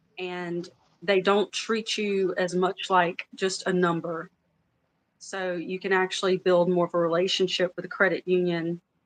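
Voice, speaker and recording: A woman in a Louisiana accent talks at a fairly slow pace in a medium-pitched voice with monotone, flat intonation. The sound is dry and close, with no echo. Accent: Louisiana Southern. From US South, Louisiana. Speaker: former credit union worker. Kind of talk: casual chat. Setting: livestream.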